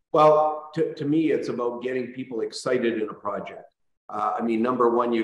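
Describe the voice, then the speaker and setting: There is audible room echo as a man with a Canadian accent speaks at a moderate pace. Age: 60s. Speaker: real estate brokerage owner. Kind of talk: panel discussion. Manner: halting, many fillers.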